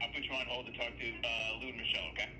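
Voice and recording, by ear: A man at a very fast pace with little pitch movement. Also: medium pitch for a man.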